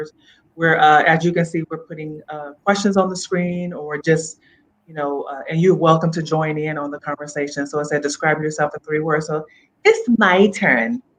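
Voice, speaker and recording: An unremarkable speaking voice belongs to this woman, who talks at a moderate pace with a fairly low pitch and ordinary pitch variation. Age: 40s. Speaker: talk show host. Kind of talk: casual chat.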